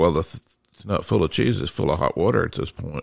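A man speaks with a Southern US accent and vocal fry. The sound is dry and close, with no echo. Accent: Southern US (Georgia). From Decatur, Georgia, US South. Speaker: host's father, storyteller. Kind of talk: casual storytelling conversation. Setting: home library.

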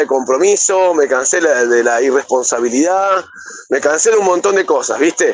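A man with an Argentine accent, high-pitched and lively in intonation, at a moderate pace. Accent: Rioplatense Argentine Spanish. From Buenos Aires, Argentina. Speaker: rock singer. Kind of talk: interview. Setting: remote call via messaging app.

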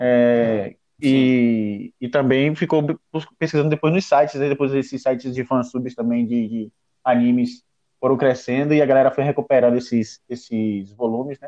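With a dark, mellow tone, a man speaks at medium pitch and a moderate pace, his intonation fairly even. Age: 30s. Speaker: anime podcast guest. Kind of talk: casual chat.

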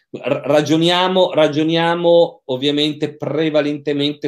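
Here a man is talking. His pace is fairly slow. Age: 50s. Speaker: psychiatrist and sexologist. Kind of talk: interview. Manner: hesitant, frequent repetitions.

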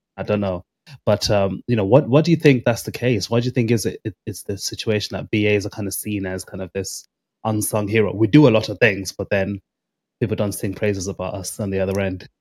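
The sound is dry and close, with no echo. A man with an ordinary speaking voice and fairly low pitch talks at a fairly quick pace, with ordinary pitch variation. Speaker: podcast host. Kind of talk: interview conversation.

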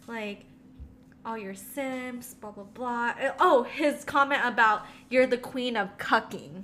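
A bright, sharp tone at a very slow pace. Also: woman, high pitch for a woman, ordinary pitch variation, big swings in loudness. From Philippines, then San Diego. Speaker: travel nurse. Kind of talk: casual chat. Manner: animated.

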